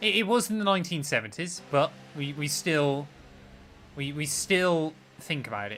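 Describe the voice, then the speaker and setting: With a West Country accent, a man with a fairly high pitch and a bright, sharp tone talks at a moderate pace, leaving long, frequent pauses. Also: lively intonation. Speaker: gaming streamer. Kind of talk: live-stream casual chat while gaming.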